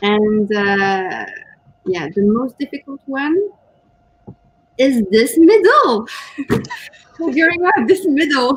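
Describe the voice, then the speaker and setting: Very slow and marked by long, frequent pauses, a woman speaks in a high voice. Her pitch swings very widely. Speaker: co-host, writer. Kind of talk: casual livestream chat. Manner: hesitant, with fillers.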